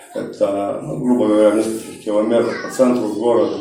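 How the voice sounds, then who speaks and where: There is audible room echo and noticeable background noise. A man speaks at a medium pitch and a moderate pace. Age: 30s. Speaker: recovering alcoholic speaker at support group. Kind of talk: testimony. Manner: casual, slangy.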